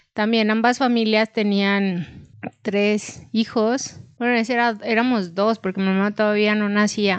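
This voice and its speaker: A woman at a very slow pace, fairly high-pitched, with monotone, flat intonation, very even loudness, and a quiet background. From Chihuahua, northern Mexico. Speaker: podcast co-host. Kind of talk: casual chat.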